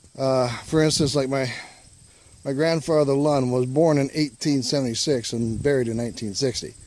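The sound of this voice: A man at medium pitch with a slightly mellow tone, moderate pace, fairly even intonation and audible room echo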